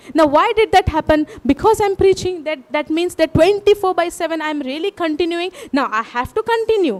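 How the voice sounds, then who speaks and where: Using a Goan accent, a woman speaks at an extremely high pitch and a moderate pace, with ordinary pitch variation and a dry, close sound with no echo. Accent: Goan Indian English. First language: Konkani. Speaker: preacher. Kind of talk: sermon.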